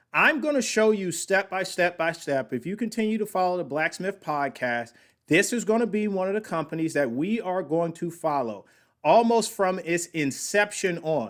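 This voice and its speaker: Loud and lively in intonation, a man with a high pitch talks at a moderate pace in a very clean recording with a silent background. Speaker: podcast host reacting to company video. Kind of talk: casual commentary on a played video. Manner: loud, high-energy.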